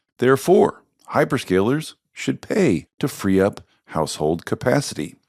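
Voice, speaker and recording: The man's fairly low voice comes at a fairly slow pace. The recording is very clean and dry, close with no echo, over a silent background. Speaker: podcast host. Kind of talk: scripted narration.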